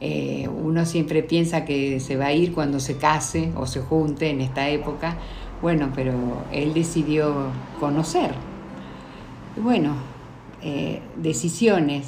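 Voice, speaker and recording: Amid audible room echo and noticeable background noise, a woman with a very deep, low voice speaks very slowly and fairly evenly, with long, frequent pauses. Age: 60s. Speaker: mother of the host. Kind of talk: interview. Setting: sitting beside the host.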